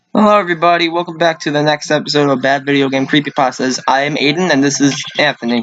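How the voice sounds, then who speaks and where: A man's fairly high-pitched voice at a very fast pace, with ordinary pitch variation, very even loudness and noticeable background noise. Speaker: creepypasta reading show co-host. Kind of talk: casual chat.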